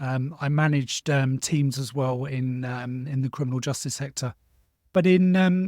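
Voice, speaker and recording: Someone speaks with a London accent at a moderate pace. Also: man, fairly high pitch for a man, ordinary pitch variation. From South London, England. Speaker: former social care worker, social media marketer. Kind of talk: interview. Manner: hesitant, many fillers.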